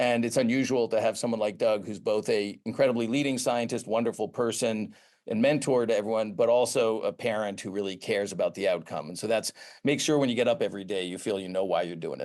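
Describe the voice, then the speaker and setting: A man with an American accent talks at a very fast pace, his medium-pitched voice showing ordinary pitch variation against a quiet background. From US Northeast, Boston area. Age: 60s. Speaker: pharmaceutical research executive, former professor. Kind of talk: interview.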